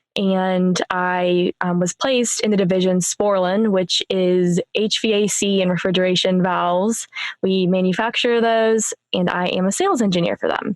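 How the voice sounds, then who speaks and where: A woman speaks at a moderate pace in a medium pitch with monotone, flat intonation, the sound dry and close with no echo. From US Midwest, Warren, Northeast Ohio. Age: 20s. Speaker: sales engineer, podcaster, coaching client. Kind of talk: podcast interview.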